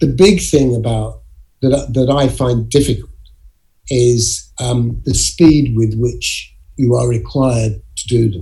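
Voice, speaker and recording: Speaking very slowly, a man talks with an English accent. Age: 70s. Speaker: actor. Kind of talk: interview. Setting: video call.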